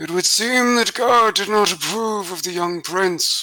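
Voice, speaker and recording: Faint music plays in the background as a man uses a put-on character voice at a high pitch and a fairly slow pace. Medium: actual play. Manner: formal, solemn.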